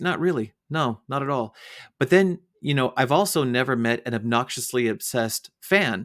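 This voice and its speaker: A man with an American accent and an ordinary speaking voice uses lively intonation at a medium pitch, recorded very clean with a silent background and a dry, close sound with no echo. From United States. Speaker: podcast host. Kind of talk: interview.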